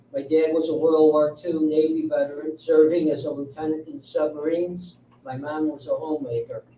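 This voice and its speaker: Over noticeable background noise, someone with an American accent talks at a moderate pace. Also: man. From Chicago suburbs, Illinois. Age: 60s. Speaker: village election candidate. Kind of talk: campaign speech at candidate forum.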